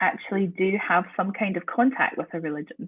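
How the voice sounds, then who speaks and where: Speaking at a moderate pace with a slight Scottish accent, the voice shows ordinary pitch variation. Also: woman. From Scotland. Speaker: university lecturer in theology. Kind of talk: guest talk on research.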